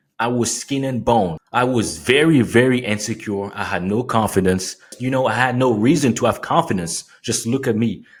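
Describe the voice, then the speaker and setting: With a French accent, a man of medium pitch speaks at a moderate pace with ordinary pitch variation and hardly any pauses. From France, Paris area. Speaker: fitness coach. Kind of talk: motivational tutorial. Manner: animated.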